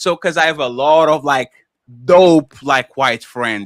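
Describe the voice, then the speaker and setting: With a non-native accent and an animated tone, a man speaks at a fairly high pitch in a dry, close sound with no echo. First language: not English. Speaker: panelist on a livestream talk show. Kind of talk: heated panel discussion.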